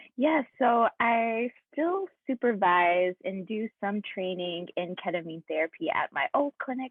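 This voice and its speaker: With an American accent, a woman uses a normal speaking voice at a fairly high pitch, her intonation lively. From US South, Kentucky (Hopkinsville). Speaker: therapist and health startup CEO. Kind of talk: interview conversation. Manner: frequent ums, thoughtful pauses.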